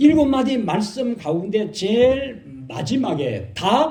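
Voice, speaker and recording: With a Gyeongsang accent, a man speaks at a very slow pace with a high pitch and very wide pitch swings, and audible room echo is present. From Korea, Gyeongsang region. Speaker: pastor. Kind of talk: sermon. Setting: church.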